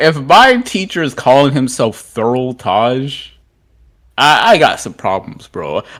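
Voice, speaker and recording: This man talks at a fairly slow pace in a fairly high pitch, with very wide pitch swings. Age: young. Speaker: podcast co-host. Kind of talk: casual chat.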